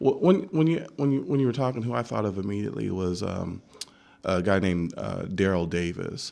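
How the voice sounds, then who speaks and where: With an American accent, a man speaks at fairly low pitch in a dark, mellow tone, at a fairly quick pace with lively intonation. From Texas. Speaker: community organizer and guest speaker on race. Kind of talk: radio interview. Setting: radio studio.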